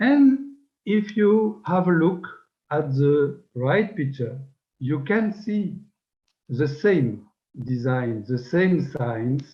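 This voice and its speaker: A man with a fairly high pitch speaks very slowly, somewhat breathy, with very wide pitch swings and long, frequent pauses. Audible room echo surrounds the voice. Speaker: researcher of megalithic tradition. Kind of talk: lecture. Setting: webinar. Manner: formal.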